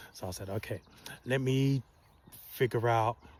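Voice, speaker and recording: Here is a man with fairly even intonation. His voice is somewhat breathy. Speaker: wellness vlogger. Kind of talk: casual storytelling monologue. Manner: calm, soft-spoken.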